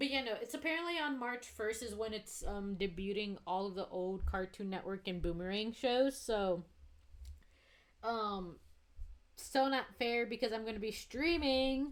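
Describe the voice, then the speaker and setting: Using an unremarkable speaking voice, a woman talks at a moderate pace with a fairly high pitch and lively intonation. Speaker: streamer drawing live. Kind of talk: casual live-stream chat while drawing.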